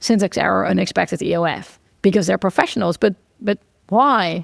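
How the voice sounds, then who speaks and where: A Dutch accent with vocal fry at a moderate pace, very cleanly recorded against a silent background, the sound dry and close with no echo. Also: woman. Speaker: computer science researcher. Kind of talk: casual interview conversation.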